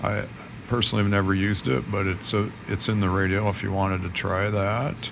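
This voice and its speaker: With audible room echo and noticeable background noise, a man speaks in a fairly low voice. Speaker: amateur radio operator. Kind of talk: tutorial. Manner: monotone; casual.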